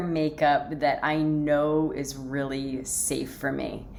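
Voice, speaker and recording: This is a woman talking. Her words carry audible room echo. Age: 40s. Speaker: lifestyle vlogger. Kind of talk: casual chat. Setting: home office. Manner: hesitant, many fillers.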